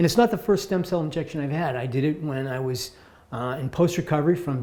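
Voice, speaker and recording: At a fairly quick pace, a man talks in an ordinary speaking voice with ordinary pitch variation. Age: 60s. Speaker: patient giving testimonial. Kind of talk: testimony.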